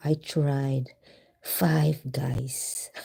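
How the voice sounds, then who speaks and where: Someone whispers in a Visayan Filipino accent. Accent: Filipino (Cebuano) English. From Philippines, Cebu. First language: Filipino / Cebuano. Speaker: vlogger. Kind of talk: live stream chat. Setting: live stream at home, night. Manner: whispering; code-switching Tagalog and English.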